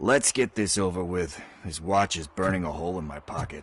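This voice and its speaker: A man puts on a character voice, very deep and low in pitch. It sounds raspy and moves at a fairly quick pace. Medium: video game. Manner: nervous, rambling.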